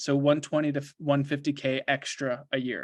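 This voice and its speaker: The recording is very clean and the background silent. The speaker is a man. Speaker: lucid dreaming coach hiring a sales closer. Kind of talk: job interview call. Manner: fast.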